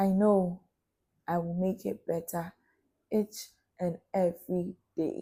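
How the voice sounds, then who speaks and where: A woman speaks very slowly with long, frequent pauses, her medium-pitched voice dark, mellow and somewhat breathy. Her intonation stays fairly even. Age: young. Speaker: talk show host. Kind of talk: motivational monologue.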